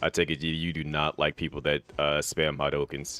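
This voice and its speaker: Music plays in the background as a man speaks. His pitch is very deep and low, and his pace is moderate. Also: dry, close sound with no echo. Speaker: gaming streamer. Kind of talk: live game commentary.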